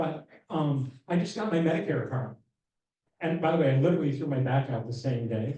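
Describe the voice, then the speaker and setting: Fairly high in pitch yet dark and mellow in tone, a somewhat breathy man speaks at a fairly quick pace with ordinary pitch variation. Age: 60s. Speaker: LGBTQ rights advocate. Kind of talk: town hall presentation. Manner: casual, conversational.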